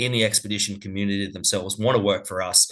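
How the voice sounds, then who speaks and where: With an Australian accent, a man talks at a very fast pace in a fairly low pitch against a quiet background. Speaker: cruise company representative. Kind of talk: webinar presentation.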